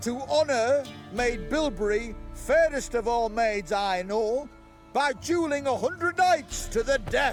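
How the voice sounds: With faint music in the background, a man uses a put-on character voice at an extremely high pitch, speaking slowly with lively intonation.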